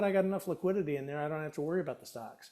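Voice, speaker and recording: A man with a fairly high pitch uses an ordinary speaking voice with ordinary pitch variation. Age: 60s. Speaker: retiree, former industry professional. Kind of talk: interview conversation. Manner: casual, with repetitions and fillers.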